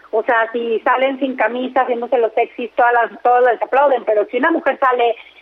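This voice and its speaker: Amid noticeable background noise, a woman talks at a fairly quick pace, her high voice held to fairly even intonation. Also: very even loudness. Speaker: entertainment radio host. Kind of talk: casual chat.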